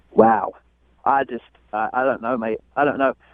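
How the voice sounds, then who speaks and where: A man talks with a London accent. His intonation stays fairly even. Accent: British, London. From London, Crystal Palace. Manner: exasperated, defensive.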